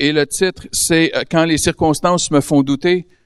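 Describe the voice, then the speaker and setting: With a Quebec accent, a man speaks at a fairly high pitch and with fairly even intonation, in a dry, close recording with no echo and a quiet background. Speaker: guest preacher. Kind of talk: sermon. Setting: church service with audience.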